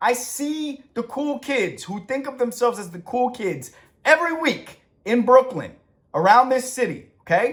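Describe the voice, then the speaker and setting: A man with an extremely high pitch, lively intonation, an animated tone and big swings in loudness. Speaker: author and TV writer giving content advice. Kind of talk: rant.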